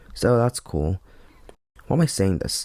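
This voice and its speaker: The speaker talks at a very fast pace with lively intonation. The voice is shaky, with a nervous tone. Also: man. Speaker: anime and manga reviewer. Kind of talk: review monologue. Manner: shaky voice, nervous first video.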